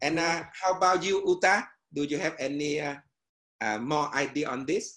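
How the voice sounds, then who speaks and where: A man with a Vietnamese accent talks at a moderate pace. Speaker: meditation teacher and education businessman. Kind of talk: casual panel discussion. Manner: halting, hesitant phrasing.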